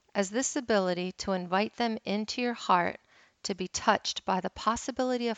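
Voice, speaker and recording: A woman talks in a normal speaking voice, her medium pitch carrying ordinary pitch variation. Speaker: wellness coach and interfaith minister. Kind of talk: guided meditation, read aloud in a calm, unhurried voice with long silent pauses. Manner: slow, soft, soothing and gentle; measured and deliberate, with pauses between phrases.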